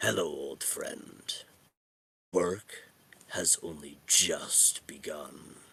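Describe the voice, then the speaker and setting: Using a raspy put-on character voice, a man speaks at an extremely high pitch and a very slow pace, with long, frequent pauses. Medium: actual play. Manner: solemn, formal.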